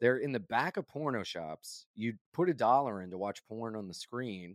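On a very clean recording with a silent background, a man with an American accent speaks in a normal speaking voice at medium pitch with lively intonation, the sound dry and close with no echo. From Delaware, US. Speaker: stand-up comedian. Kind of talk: casual chat.

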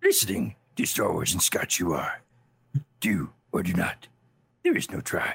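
A raspy, put-on character voice at a moderate pace, with long, frequent pauses. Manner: solemn, instructive.

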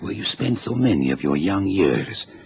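In a put-on character voice with vocal fry and big pitch swings, the speaker moves at a moderate pace over faint background noise. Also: man, low pitch for a man.

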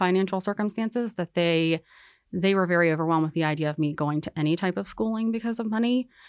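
A woman talks at medium pitch. She has an ordinary speaking voice. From North Carolina (Winston-Salem). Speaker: physician and medical professor. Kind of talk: interview.

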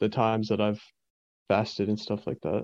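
Recorded dry and close with no echo, a man with an American accent speaks at a fairly quick pace in a medium pitch. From US South, East Tennessee, Appalachia. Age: 20s. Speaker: self-described shamanic practitioner. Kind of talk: interview. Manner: halting, many fillers.

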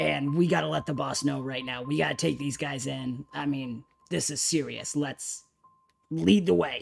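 Faint music plays in the background as a man does a put-on character voice. His pitch is medium and his pace moderate. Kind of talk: comic overacting.

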